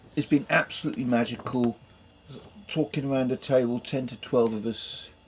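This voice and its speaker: Noticeable background noise runs under this recording. A man talks at a fairly slow pace. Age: 70s. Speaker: boat owner. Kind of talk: casual chat. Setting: aboard a boat. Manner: animated.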